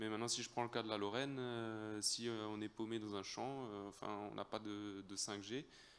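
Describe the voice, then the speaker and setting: A man speaks in an Alsatian accent at a fairly low pitch. His intonation stays monotone and flat. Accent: Alsatian French accent, noticeable. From Alsace, France. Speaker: audience member, farmer. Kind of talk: audience question. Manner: halting, many hesitations.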